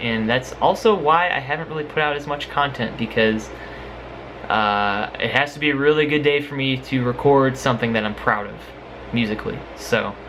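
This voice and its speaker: A man at medium pitch talks amid audible room echo. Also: ordinary pitch variation, moderate pace. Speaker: YouTuber and singer doing music covers. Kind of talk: casual vlog talk to camera. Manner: halting, many fillers.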